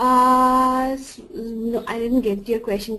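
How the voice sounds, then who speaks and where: A woman with a non-native accent talks at a fairly high pitch in a bright, sharp tone. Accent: noticeable non-native. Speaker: software trainer. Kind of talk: tutorial. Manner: halting, many false starts.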